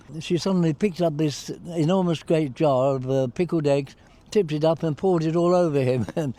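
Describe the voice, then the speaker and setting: A man with an English accent speaks at a fairly quick pace. His voice sits fairly high, with a dark, mellow tone. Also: ordinary pitch variation. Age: 80s+. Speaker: war veteran. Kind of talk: interview. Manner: hesitant.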